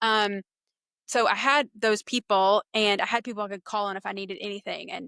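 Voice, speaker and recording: Fairly quick and fairly high-pitched, a woman with a Southern US accent speaks in a bright, sharp tone, the sound dry and close with no echo on a very clean recording with a silent background. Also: fairly even intonation. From eastern North Carolina, US South. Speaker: public relations business owner. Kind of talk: podcast interview. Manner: casual.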